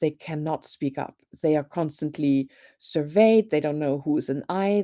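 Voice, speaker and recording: In a German accent, a woman speaks at a fairly slow pace with a very deep, low pitch and a dark, mellow tone. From Germany. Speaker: professor. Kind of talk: panel discussion. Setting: live online show.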